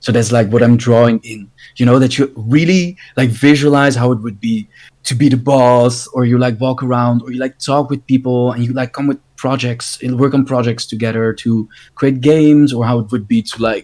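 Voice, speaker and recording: A plain, everyday voice from a man, medium in pitch, at a moderate pace with fairly even intonation. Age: 20s. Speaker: podcast host, game design student. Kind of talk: casual chat.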